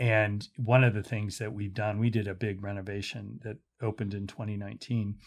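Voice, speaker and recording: A man with a plain, everyday voice speaks at a fairly quick pace in an American accent, his pitch fairly low and his intonation fairly even. The recording is very clean, with a silent background. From US, Pittsburgh. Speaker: museum director. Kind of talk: casual interview. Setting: in-person studio interview.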